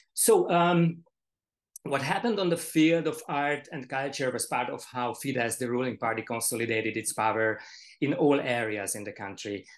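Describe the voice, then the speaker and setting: A man with a Hungarian accent talks at a moderate pace with lively intonation against a quiet background. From Hungary. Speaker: panelist, art critic; panelist. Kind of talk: panel discussion. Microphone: video call.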